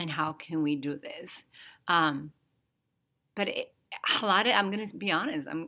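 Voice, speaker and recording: In a Spanish accent, a woman speaks at a fairly slow pace with a very deep, low pitch, a bright, sharp tone and ordinary pitch variation. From Dominican Republic. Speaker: podcast co-host, developmental therapist. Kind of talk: casual conversation.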